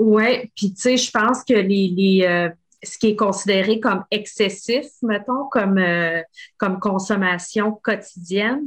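Here a woman speaks at a medium pitch and a very slow pace. Her pitch varies in an ordinary way. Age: 40s. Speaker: podcast host. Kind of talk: casual interview.

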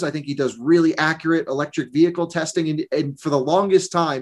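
Here a man talks at a fairly quick pace. He has an American accent. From Vermont, US. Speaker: EV journalist and video creator. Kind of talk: interview.

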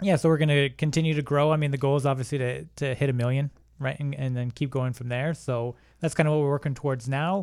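In a Canadian accent, a man talks at a very fast pace with a fairly high pitch and fairly even intonation. The recording is very clean, with a silent background. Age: 30s. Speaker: online business owner, real estate investor. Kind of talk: casual interview chat.

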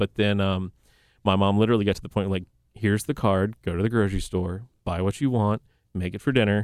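Speaking at a very fast pace in a fairly low pitch, a man with a slight Southern US accent sounds dry and close with no echo on a very clean recording with a silent background. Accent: slight Southern twang. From North Carolina. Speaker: chef. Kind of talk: casual chat. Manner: articulate.

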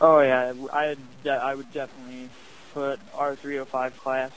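A fairly high-pitched man with a Midwestern American accent. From Northwest Ohio. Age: young. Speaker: sprint car racing driver. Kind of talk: interview.

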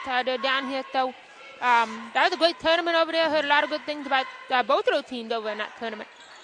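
A woman talks at a very fast pace in a high pitch with ordinary pitch variation over noticeable background noise. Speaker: basketball color commentator. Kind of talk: radio sports color commentary. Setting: radio broadcast booth at a gym. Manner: hesitant, filler-heavy.

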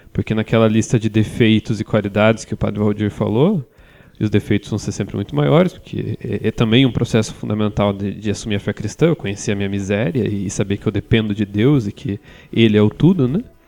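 Talking at a fairly quick pace, a man has an ordinary speaking voice with a fairly low pitch. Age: 20s. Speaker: journalist and theologian. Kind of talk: casual chat.

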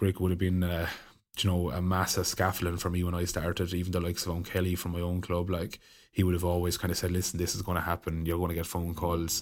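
A man's very deep, low voice in a Waterford accent, very fast and monotone with flat intonation, on a very clean recording with a silent background. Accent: Waterford Irish. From Ireland, County Waterford. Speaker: hurler. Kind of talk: casual chat.

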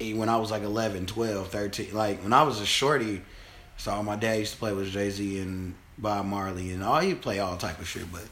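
With an American accent and a fairly low pitch, a man speaks amid audible room echo. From Chicago. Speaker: podcast host. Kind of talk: casual chat.

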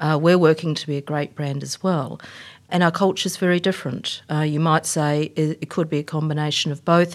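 Over a very clean recording with a silent background, a woman speaks with a New Zealand accent at a fairly quick pace. Her pitch is very deep and low, and her intonation is monotone and flat. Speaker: tech company executive. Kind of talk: interview.

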